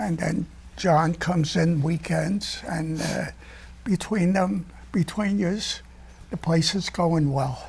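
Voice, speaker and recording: A man with a New York accent, a high pitch, ordinary pitch variation and a very slow pace. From US Northeast, New York (the Bronx). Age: 80s+. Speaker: retired restaurant owner. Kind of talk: casual chat.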